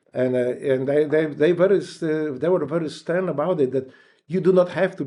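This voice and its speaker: Against a quiet background, a man with a Polish accent talks at a fairly quick pace, his pitch fairly high and his tone dark and mellow, with ordinary pitch variation. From Poland. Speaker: war veteran. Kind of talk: interview. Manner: halting.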